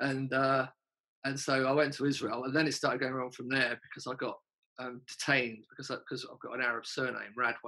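Speaking very fast with a London accent, the man has a medium pitch, a bright, sharp tone, monotone, flat intonation and big swings in loudness. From North London, England. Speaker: punk singer and songwriter. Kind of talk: casual interview chat.

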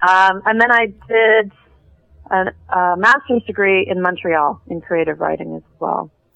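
A woman with a western Canadian accent, medium pitch, ordinary pitch variation and a fairly slow pace. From western Canada (Calgary, Vancouver). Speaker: TV writer. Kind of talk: interview.

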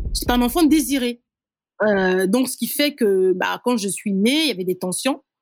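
A woman speaks at a fairly slow pace with a fairly high pitch. Her intonation is lively. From Republic of the Congo, Brazzaville. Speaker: interviewee sharing life story. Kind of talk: personal testimony interview. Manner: hesitant with fillers.

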